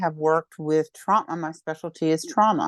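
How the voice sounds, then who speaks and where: A woman with an American accent speaks in a very deep, low voice. The background is quiet. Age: 60s. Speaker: psychotherapist. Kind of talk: interview.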